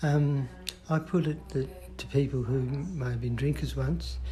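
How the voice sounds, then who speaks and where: A man is speaking. His voice has audible room echo. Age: 60s. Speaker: person living with Parkinson's. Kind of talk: interview.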